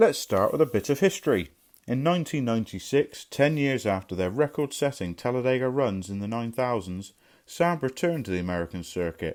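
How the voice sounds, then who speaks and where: On a very clean recording with a silent background, a man with a Somerset accent talks at a fairly quick pace. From Somerset, England. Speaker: car mechanic presenting a restoration video. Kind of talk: scripted narration.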